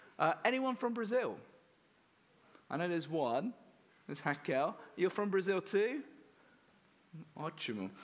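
Speaking in an English accent, a man sounds animated, his pitch swinging very widely. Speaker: missionary. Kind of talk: church talk. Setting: church with audience.

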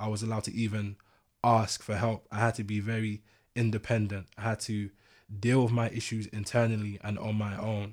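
On a very clean recording with a silent background, a man with a London accent speaks fairly quickly in a fairly low pitch with monotone, flat intonation. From East London. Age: 20s. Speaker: podcast guest. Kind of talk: casual chat.

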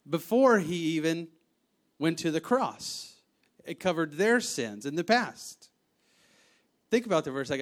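On a very clean recording with a silent background, a man with a high pitch speaks at a fairly slow pace. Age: 30s. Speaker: preacher. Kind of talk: sermon. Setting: church.

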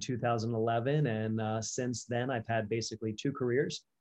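A man with an American accent has an ordinary speaking voice at a medium pitch. His intonation is fairly even, and the background is quiet. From Delaware, US. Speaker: dentist. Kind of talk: interview.

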